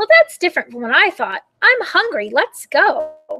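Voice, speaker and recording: A woman's shrill, put-on character voice at a moderate pace, dry and close with no echo, with music in the background. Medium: read story. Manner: screechy, excitable.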